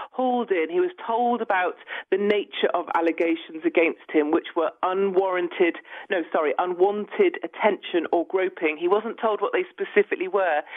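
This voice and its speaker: A woman with a British accent talks at a moderate pace. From United Kingdom. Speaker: newspaper columnist. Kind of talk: interview. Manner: outspoken.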